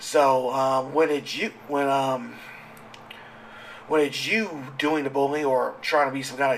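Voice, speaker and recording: Over noticeable background noise, a man speaks fairly slowly at a fairly high pitch. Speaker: gamer and commentary vlogger. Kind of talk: casual monologue rant. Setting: home recording, sitting at microphone late at night. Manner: halting, many fillers and restarts; animated. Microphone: audio issues, raw uncut.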